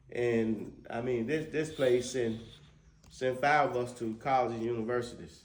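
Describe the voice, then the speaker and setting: In a Mississippi Delta accent, a man talks at a fairly slow pace and medium pitch, his intonation fairly even, with audible room echo around him. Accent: Mississippi Delta Southern US. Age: 60s. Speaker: local business owner. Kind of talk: casual chat. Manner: halting.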